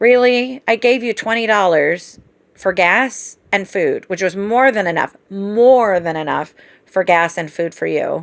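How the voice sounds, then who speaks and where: Over a quiet background, a woman with an unremarkable speaking voice talks at a fairly slow pace, her medium pitch moving with ordinary variation. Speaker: family caregiver. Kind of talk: casual chat.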